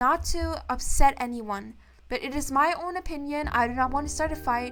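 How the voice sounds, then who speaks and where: Her pitch is high for a woman. It varies in an ordinary way. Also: moderate pace. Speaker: VTuber streamer. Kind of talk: casual opinion talk to camera. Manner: stuttering, hesitant.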